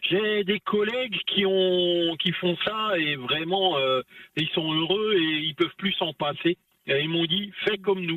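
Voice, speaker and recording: A man with a high pitch speaks very slowly in an Alsatian accent, his pitch varying in an ordinary way. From Alsace, France. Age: 40s. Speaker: long-haul truck driver. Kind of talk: radio interview, casual chat. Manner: animated, joking.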